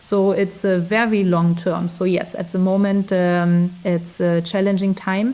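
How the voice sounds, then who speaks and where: A woman with a German accent speaks fairly slowly in a dark, mellow tone at a medium pitch, her intonation monotone and flat and her loudness very even. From Germany. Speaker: recruiter, expat interviewee. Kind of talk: interview. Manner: halting, many fillers.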